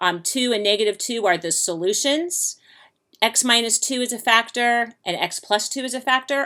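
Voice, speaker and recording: A woman with fairly high pitch talks at a moderate pace with ordinary pitch variation, in a normal speaking voice. The recording is very clean, with a silent background. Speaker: math teacher. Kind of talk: lecture.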